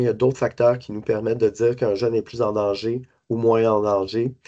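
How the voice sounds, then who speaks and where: The voice has a dark, mellow tone and a monotone, flat intonation. It moves at a moderate pace against a quiet background. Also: man. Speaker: suicide prevention service coordinator. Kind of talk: lecture. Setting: conference talk to hospital staff. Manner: halting, many fillers and repetitions.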